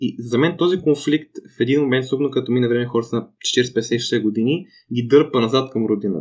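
Here a man speaks at medium pitch and a fairly quick pace. His pitch shows ordinary variation. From Bulgaria. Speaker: podcast host. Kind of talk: casual discussion. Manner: fast.

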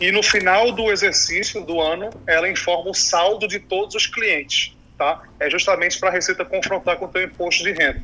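A raised, projected voice with fairly even intonation over noticeable background noise. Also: man, high pitch for a man, moderate pace. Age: 30s. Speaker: fintech executive, crypto expert. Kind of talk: interview. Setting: remote recording over computer.

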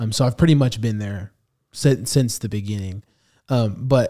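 A man with an American accent, a medium pitch, a dark, mellow tone and ordinary pitch variation. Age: 20s. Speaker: minister. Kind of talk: interview podcast conversation.

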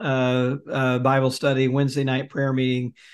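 Against a quiet background, a man with an American accent speaks at a fairly high pitch. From US South, Jackson, Mississippi. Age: 50s. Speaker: author and religion researcher. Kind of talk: interview.

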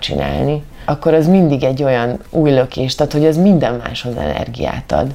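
A woman's very deep, low pitch with ordinary pitch variation, over noticeable background noise. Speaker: actress and amateur runner. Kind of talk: interview.

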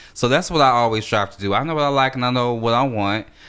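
A man talks at a fairly quick pace in a medium pitch with ordinary pitch variation. He has an unremarkable speaking voice. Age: 30s. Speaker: podcast co-host. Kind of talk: casual chat.

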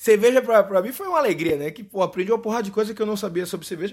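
A man with a Recife accent speaks in an animated tone with lively intonation. The recording is very clean with a silent background. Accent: Recife accent, dropped R. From Brazil, Recife. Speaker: podcast host. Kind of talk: casual monologue. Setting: home recording in bedroom.

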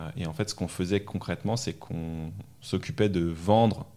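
Dark, mellow male speech on a very clean recording with a silent background. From France, Normandy and Paris region. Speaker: coding school manager. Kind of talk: interview. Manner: hesitant, many repetitions.

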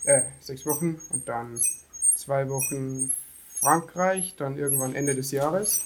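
Very slow speech from a man with a fairly high pitch and ordinary pitch variation, noticeable background noise behind him. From Lower Bavaria, Germany (near Deggendorf). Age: 20s. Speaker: van-life traveller, former car painter. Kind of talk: casual interview.

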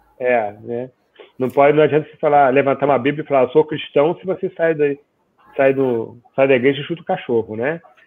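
A man with a fairly high pitch talks at a fairly quick pace with fairly even intonation, a plain, everyday voice. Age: 50s. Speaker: data protection consultant. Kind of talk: casual chat.

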